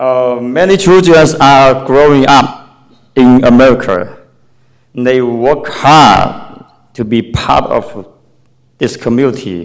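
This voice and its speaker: A man speaks at a very slow pace with a non-native accent. Audible room echo surrounds his voice. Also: medium pitch for a man, ordinary pitch variation. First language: Chinese. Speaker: parent speaking at public comment. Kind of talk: public comment speech. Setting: public meeting at city hall. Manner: halting.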